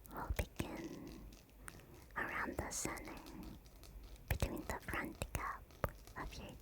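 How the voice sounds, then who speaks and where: Through noticeable background noise, a woman whispers. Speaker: ASMR artist / VTuber. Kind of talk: dentist roleplay ASMR. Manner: soft, whispering.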